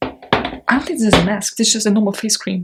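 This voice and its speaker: A non-native accent at a fairly quick pace. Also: woman. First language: not English. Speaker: beauty YouTuber. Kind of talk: unboxing video. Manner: animated.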